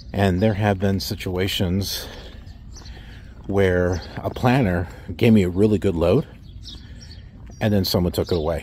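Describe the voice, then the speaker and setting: A man speaks at a moderate pace and fairly low pitch, with ordinary pitch variation. The sound is dry with no echo, over light background noise. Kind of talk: casual vlog chat. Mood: frustrated, sarcastic. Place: street. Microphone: phone near.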